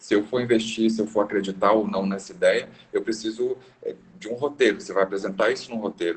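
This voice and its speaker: His loudness swings in big ways as the man rushes at a very fast pace. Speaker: business consultant. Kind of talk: lecture. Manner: varies pitch to keep attention.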